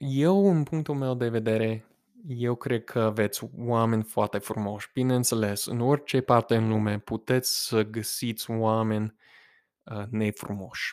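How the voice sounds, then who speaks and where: Medium in pitch, a man is speaking. The recording is very clean with a silent background. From United States. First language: English (speaking Romanian). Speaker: podcast host. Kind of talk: casual monologue. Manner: halting.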